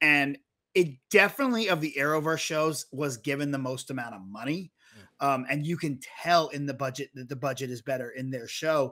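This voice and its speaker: Talking at a fairly quick pace, a man has a bright, sharp tone and ordinary pitch variation. The background is quiet. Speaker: podcast co-host. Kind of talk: commentary. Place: studio. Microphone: studio mic.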